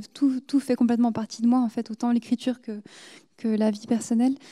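Against a quiet background, a woman with a high pitch and a dark, mellow tone speaks at a moderate pace in a monotone, flat intonation, pausing long and often. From France, South Korea and Swiss Jura; France. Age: 20s. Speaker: novelist; guest. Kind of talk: literary discussion. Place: stage. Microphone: handheld.

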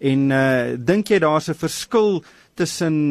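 An ordinary speaking voice with lively intonation and a dry sound with no echo. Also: man, quiet background. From South Africa. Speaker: radio presenter, financial journalist. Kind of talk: radio interview. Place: studio.

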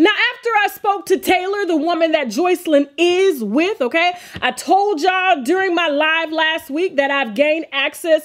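A woman's extremely high-pitched voice, with ordinary pitch variation and a moderate pace. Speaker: gossip vlogger. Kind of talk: commentary. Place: studio.

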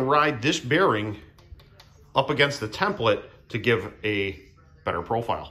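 Moving at a moderate pace, a man lets his pitch vary in an ordinary way. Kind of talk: casual tutorial narration. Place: workshop. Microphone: phone near.

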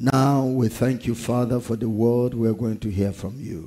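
In a dark, mellow tone, a man talks at a fairly slow pace. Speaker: pastor. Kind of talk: prayer before sermon. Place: church. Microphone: headset.

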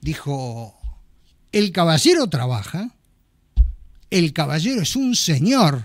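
A man with a fairly high pitch and very wide pitch swings, very slow pace, long, frequent pauses, dry sound with no echo and a quiet background. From Argentina. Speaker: podcast host. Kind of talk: casual chat. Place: studio. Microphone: studio mic.

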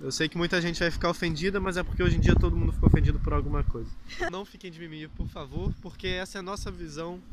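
Talking at a very fast pace with big swings in loudness, a man is heard over noticeable background noise. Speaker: YouTuber, immigrant hotel worker. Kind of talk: casual vlog chat.

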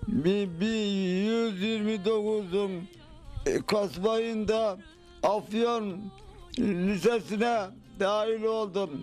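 Over faint music in the background, a man speaks very slowly with a high pitch and fairly even intonation. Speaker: Yoruk villager. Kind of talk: interview answer. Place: home room. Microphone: handheld.

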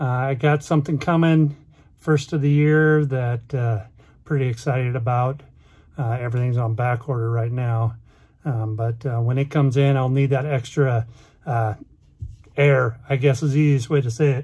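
The voice is somewhat breathy with a dark, mellow tone and fairly even intonation, set against a quiet background. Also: man, moderate pace. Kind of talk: casual vlog chat. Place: car. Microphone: phone near.

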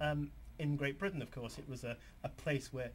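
Over light background noise, a man with a London accent talks at a fairly quick pace in a fairly high pitch with vocal fry. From London, England. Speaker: author; TV guest. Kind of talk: TV interview. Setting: TV studio. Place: studio.

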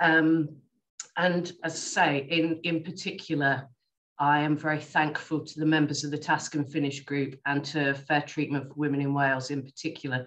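Over a quiet background, a woman speaks with an English accent. Her pitch is very deep and low, her intonation monotone and flat. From England. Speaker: specialist nurse; panelist. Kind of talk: presentation and panel answers. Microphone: video call.

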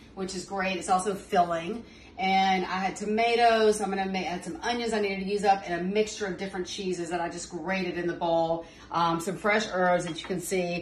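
Light background noise and an audible room echo surround a woman's voice. She talks at a fairly quick pace with fairly even intonation. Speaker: home cook host. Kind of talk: cooking tutorial. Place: kitchen. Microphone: phone near.

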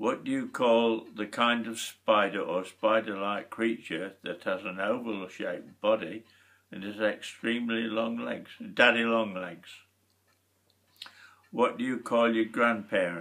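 In a Lincolnshire accent, a man speaks at a fairly slow pace with fairly even intonation. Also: quiet background. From Lincolnshire, England. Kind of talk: reading and answering questionnaire. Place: home room. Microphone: webcam.

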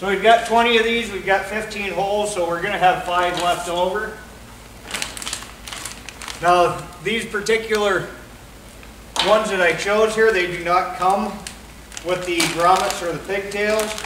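A man talks in a high pitch at a fairly slow pace, with monotone, flat intonation and long, frequent pauses. Noticeable background noise runs underneath. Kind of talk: casual tutorial chat. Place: garage. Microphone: camera far.

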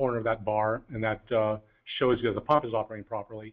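Speaking at a fairly quick pace, the man keeps a monotone, flat intonation. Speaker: product trainer presenting gas monitor. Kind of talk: technical webinar presentation. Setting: online webinar call.

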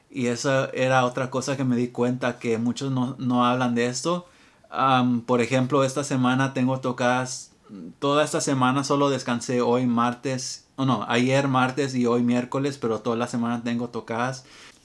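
A man's flat, monotone delivery at a moderate pace, with very even loudness. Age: 20s. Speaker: musician and music YouTuber; music YouTuber. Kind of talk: casual vlog monologue; casual vlog chat. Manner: unscripted, hesitant. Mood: reflective, relaxed. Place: home room.

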